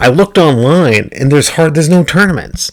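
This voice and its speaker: Quiet but with lively intonation, a man talks at a fairly quick pace. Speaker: gaming youtuber. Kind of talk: casual gameplay commentary. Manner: halting.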